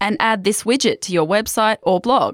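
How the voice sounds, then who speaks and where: In a very clean recording against a silent background, this woman keeps to a moderate pace. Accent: Australian. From Australia. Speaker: language podcast host. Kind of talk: language lesson.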